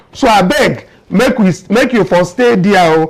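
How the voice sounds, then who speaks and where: A man's high-pitched voice makes very wide pitch swings over noticeable background noise. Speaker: political commentary show host. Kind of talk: political commentary in Pidgin.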